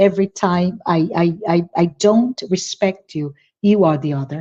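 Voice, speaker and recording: A woman speaks in a Portuguese accent. Her pace is fairly slow. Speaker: spiritist speaker. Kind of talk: virtual talk Q&A.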